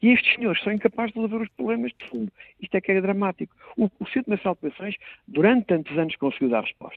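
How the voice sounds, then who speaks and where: Talking at a very fast pace, a man with a high pitch makes very wide pitch swings and big swings in loudness. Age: 50s. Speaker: member of parliament, political commentator. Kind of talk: political commentary.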